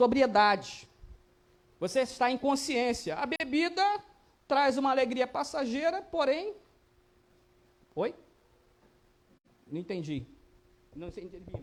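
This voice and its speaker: Delivery comes at a fairly slow pace with long, frequent pauses. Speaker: Bible teacher. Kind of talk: Bible study lesson.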